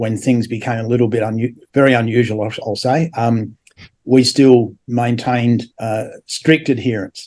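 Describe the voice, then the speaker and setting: A man with an Australian accent talks at a moderate pace, his medium-pitched voice fairly even in intonation. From Australia, Adelaide. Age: 70s. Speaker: former religious group member, builder. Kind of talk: interview testimony. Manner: halting, many fillers.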